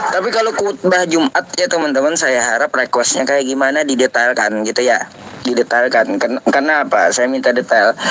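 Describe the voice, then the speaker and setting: With noticeable background noise behind him, a man speaks at a moderate pace in a fairly high pitch, animated and with lively intonation, very even loudness and hardly any pauses. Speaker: Islamic preacher hosting live Q&A stream. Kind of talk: live stream chat with callers. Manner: casual, animated.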